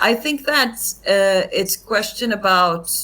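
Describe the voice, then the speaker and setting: The speaker has a non-native accent and a bright, sharp tone. The pace is very slow. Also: woman. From Finland. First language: not English. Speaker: actress and comedian. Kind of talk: casual interview chat.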